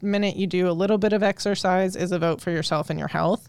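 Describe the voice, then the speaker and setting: Recorded very cleanly with a silent background, a woman with an American accent uses a normal speaking voice at a medium pitch, speaking at a fairly quick pace with fairly even intonation. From Colorado. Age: 30s. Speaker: exercise physiologist. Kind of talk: casual interview chat.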